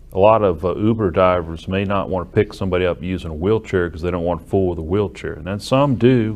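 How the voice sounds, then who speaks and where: In an American accent, a man talks at a very fast pace in a fairly low voice with ordinary pitch variation. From US South, Alabama (Muscle Shoals area). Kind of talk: interview.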